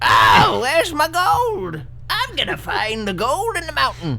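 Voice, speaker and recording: A fairly slow, put-on character voice against clearly audible background noise. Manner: cantankerous.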